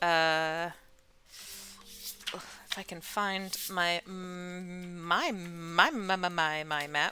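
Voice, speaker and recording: At a very slow pace, someone uses a put-on character voice at a middle pitch. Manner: stuttering.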